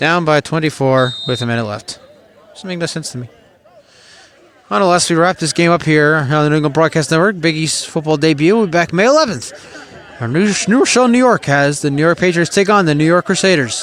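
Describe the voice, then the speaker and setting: A man with an American accent talks at a very fast pace in a fairly high pitch, his intonation lively, over noticeable background noise. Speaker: sports play-by-play announcer. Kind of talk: live commentary. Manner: conversational, opinionated asides.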